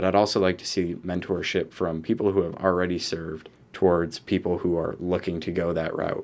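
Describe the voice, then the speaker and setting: This man has a very deep, low voice, speaking at a fairly quick pace in a flat monotone with hardly any pauses. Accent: American. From Rochester, New York, US. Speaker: student and Marine veteran. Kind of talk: casual interview conversation.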